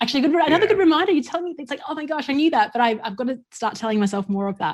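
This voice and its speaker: A woman's pitch swings very widely. Noticeable background noise sits behind her. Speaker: podcast host. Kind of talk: podcast interview conversation.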